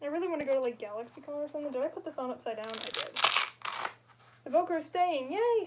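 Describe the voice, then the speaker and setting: A woman's high voice at a fairly quick pace with lively intonation, against noticeable background noise. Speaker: livestreamer, costume maker. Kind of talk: casual livestream crafting chat. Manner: casual, hesitant with fillers.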